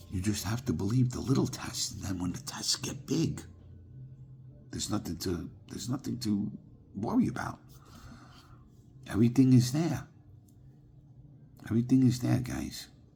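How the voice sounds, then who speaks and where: A man speaks with vocal fry and a dark, mellow tone, his pitch varying in an ordinary way. His loudness swings widely, and he leaves long, frequent pauses. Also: medium pitch for a man, moderate pace. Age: 60s. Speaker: spiritual vlogger. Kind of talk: casual monologue to camera. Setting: sitting at home, evening. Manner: repetitive, halting with fillers.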